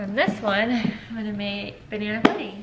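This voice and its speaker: Noticeable background noise fills the recording. The talking proceeds fairly slowly. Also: woman. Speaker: vlogger. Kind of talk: casual vlog chat. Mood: relaxed, chatty. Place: kitchen. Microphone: camera far.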